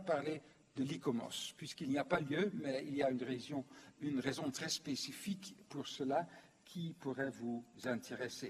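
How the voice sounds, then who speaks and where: A man speaks at a fairly slow pace in a somewhat breathy voice. His pitch varies an ordinary amount. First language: not French (speaking French). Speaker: former UNESCO official, lecturer. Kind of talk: conference lecture. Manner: hesitant, many fillers.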